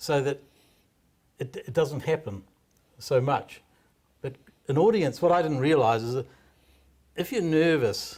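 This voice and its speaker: A man with a New Zealand accent, fairly high in pitch and somewhat breathy, at a fairly slow pace with ordinary pitch variation and long, frequent pauses. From New Zealand, Hawke's Bay. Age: 60s. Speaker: stand-up comedian. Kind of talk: interview.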